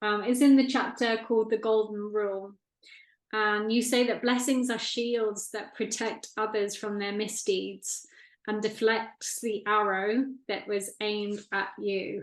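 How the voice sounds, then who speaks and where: A woman speaks in a fairly high pitch at a fairly slow pace. Her intonation stays monotone and flat. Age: 40s. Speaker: interviewer, spiritual channel host. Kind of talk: interview.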